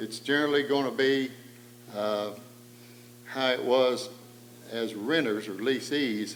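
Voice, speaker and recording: A man with an Appalachian accent talks at medium pitch and a fairly slow pace, with fairly even intonation. He leaves long, frequent pauses, and audible room echo surrounds his voice. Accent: Appalachian Southern US. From East Tennessee, Cades Cove. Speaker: panel moderator. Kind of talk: public talk.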